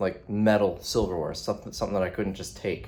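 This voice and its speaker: Quiet and fairly low in pitch, a man speaks at a very fast pace with fairly even intonation. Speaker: vlogger. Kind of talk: casual vlog talk. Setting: hotel room. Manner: quieter, held back.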